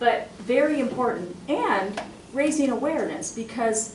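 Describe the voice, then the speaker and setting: With audible room echo and noticeable background noise, a woman talks at a fairly slow pace. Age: 60s. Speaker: university administrator. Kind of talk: audience comment at panel discussion.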